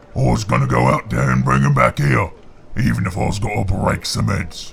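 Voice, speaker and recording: Bellowing in a gruff put-on character voice, a man speaks at a fairly quick pace and a very deep, low pitch over clear background noise. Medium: read story. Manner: gruff, bellowing.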